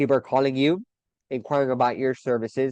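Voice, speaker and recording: A man speaks at a fairly quick pace with an energetic tone, the sound dry and close with no echo. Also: quiet background. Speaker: marketing podcast host. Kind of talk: solo podcast monologue. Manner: fast.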